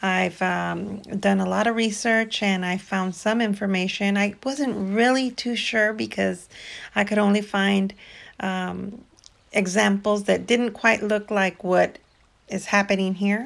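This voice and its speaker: The speaker is a woman with fairly even intonation. She goes at a fairly slow pace. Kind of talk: casual vlog chat. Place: garden.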